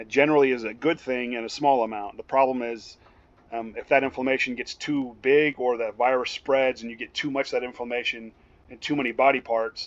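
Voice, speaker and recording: A man talks at a fairly quick pace in a flat monotone. His loudness swings widely. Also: medium pitch for a man. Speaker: EMS instructor. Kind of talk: lecture. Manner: fast.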